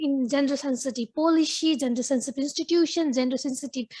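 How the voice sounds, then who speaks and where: A woman talks at a high pitch and a fairly quick pace. Her intonation stays fairly even. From Nepal. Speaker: forestry official, audience questioner. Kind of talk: audience question at panel. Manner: fast; halting.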